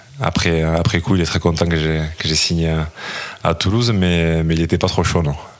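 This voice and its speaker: Very deep, low male speech at a fairly quick pace amid noticeable background noise. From French Basque Country. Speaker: retired rugby player. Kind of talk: interview. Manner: halting, many hesitations.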